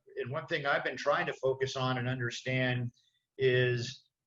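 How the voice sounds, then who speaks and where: A man speaks with an American accent at a moderate pace, his pitch medium. He has a plain, everyday voice. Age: 60s. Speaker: city council candidate. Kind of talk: candidate forum self-introduction. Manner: many fillers, casual.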